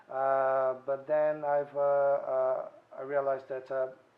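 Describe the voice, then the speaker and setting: Over noticeable background noise, a man with a Brazilian accent speaks at a medium pitch in a monotone, flat intonation. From Brazil, Santos. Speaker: restaurateur. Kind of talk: interview. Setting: restaurant. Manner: hesitant, many fillers.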